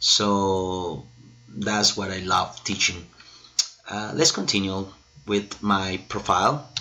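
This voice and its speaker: Speaking very slowly with a Spanish accent, the speaker leaves long, frequent pauses, keeps a fairly even intonation, and is heard over noticeable background noise. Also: man, fairly low pitch for a man. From Colombia. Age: 30s. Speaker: English and Spanish teacher. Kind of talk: self-introduction video. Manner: hesitant, many fillers.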